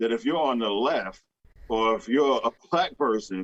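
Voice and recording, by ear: At a moderate pace, a man talks at a medium pitch with lively intonation and a fairly bright tone.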